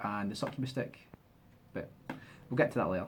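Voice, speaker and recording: With a Scottish accent, a man speaks in a fairly low voice with ordinary pitch variation. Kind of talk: casual game demo walkthrough.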